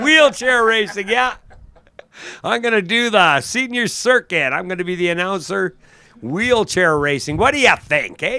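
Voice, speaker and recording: A man speaks in a raised, projected voice at a high pitch, with a bright, sharp tone. His pitch swings very widely, and his pace is moderate. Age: 60s. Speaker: drag strip announcer. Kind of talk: live commentary. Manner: animated.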